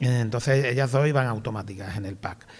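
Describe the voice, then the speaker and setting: Talking at a fairly quick pace, a man with a strong Andalusian accent sounds somewhat breathy. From Andalusia, Spain (small town near Seville). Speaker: film director and screenwriter. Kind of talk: interview on stage.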